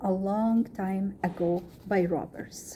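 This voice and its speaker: Speaking at a very slow pace, a woman with an Egyptian accent has a somewhat breathy, dark, mellow tone at a medium pitch. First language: Arabic. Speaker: student. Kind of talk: reading aloud.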